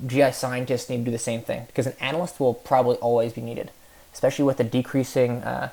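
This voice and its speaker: A man's dark, mellow voice with an American accent, monotone and flat, at a very fast pace, in a very clean recording with a silent background. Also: medium pitch for a man. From New York. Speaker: graduate student presenter. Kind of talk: recorded class presentation. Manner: halting, many filler words.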